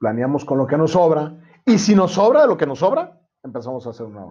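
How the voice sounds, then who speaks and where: The delivery is very fast, with lively intonation. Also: man. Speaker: insurance agent. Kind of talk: casual chat.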